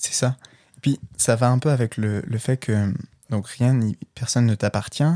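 A man with a dark, mellow tone and medium pitch talks at a fairly slow pace with fairly even intonation. The sound is dry and close with no echo, on a very clean recording with a silent background. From Brittany, France. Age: 20s. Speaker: podcast guest, clothing brand founder. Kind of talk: casual interview.

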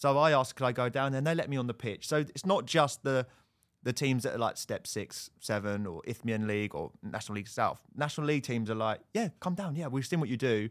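This man has a southern English accent and a medium pitch. He talks very fast with ordinary pitch variation. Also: very clean recording, silent background. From Hertfordshire, England. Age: 30s. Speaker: football TV presenter. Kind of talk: casual chat.

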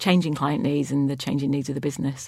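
In a Lancashire accent, a woman speaks with vocal fry at a very deep, low pitch and fairly even intonation, on a very clean recording with a silent background. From Lancashire, northern England. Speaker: chief technology officer. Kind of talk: interview.

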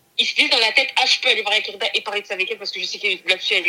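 A woman at a fairly high pitch and a very fast pace, with ordinary pitch variation. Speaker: podcast guest, host's cousin. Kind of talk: casual chat.

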